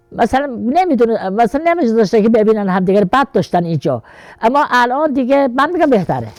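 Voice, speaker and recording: Over music in the background, a woman speaks very fast at a fairly high pitch, her pitch swinging very widely while her loudness stays very even. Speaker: mother of a martyr, village elder. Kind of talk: interview answer.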